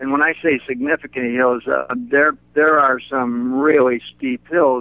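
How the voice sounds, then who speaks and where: A man with fairly high pitch talks in an ordinary speaking voice. He keeps a moderate pace with ordinary pitch variation. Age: 60s. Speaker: runner. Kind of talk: interview.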